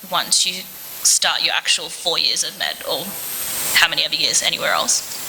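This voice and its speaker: At a moderate pace, someone talks with an Australian accent against noticeable background noise. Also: woman. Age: 20s. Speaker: medical student. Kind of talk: talk with Q&A to school students. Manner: casual, conversational.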